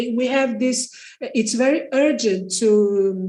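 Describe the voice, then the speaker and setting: A woman talks at a very slow pace in a Portuguese accent. Audible room echo surrounds her voice. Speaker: architect and architecture teacher. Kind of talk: panel discussion. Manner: halting.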